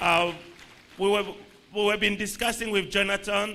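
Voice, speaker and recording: A man projects his high-pitched voice at a moderate pace. Room echo can be heard. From Republic of the Congo. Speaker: international organization official. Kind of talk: goodwill speech at a conference. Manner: halting, with many fillers and restarts.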